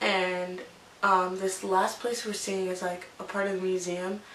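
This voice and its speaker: At a fairly slow pace, a woman talks in an ordinary speaking voice pitched in the medium range. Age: 20s. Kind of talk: casual talk to camera. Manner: chatty, rambling.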